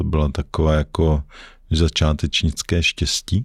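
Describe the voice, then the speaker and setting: A man speaks at a very slow pace in a very deep, low pitch. The sound is dry and close with no echo on a very clean recording with a silent background. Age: 50s. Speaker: investor and former banker. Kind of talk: casual interview. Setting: studio.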